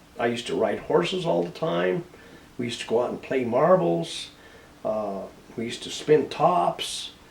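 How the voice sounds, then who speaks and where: Against noticeable background noise, a man with an American accent and a medium pitch shows very wide pitch swings and big swings in loudness. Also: moderate pace. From Colorado, US (San Luis). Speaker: war veteran. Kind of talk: interview. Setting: on camera. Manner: halting.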